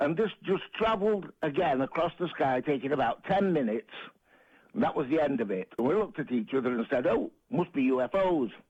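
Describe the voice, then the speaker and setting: Speaking at a fairly quick pace, a man with a fairly high voice makes very wide pitch swings while keeping his loudness very even. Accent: Manchester. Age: 70s. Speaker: caller. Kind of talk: phone-in call.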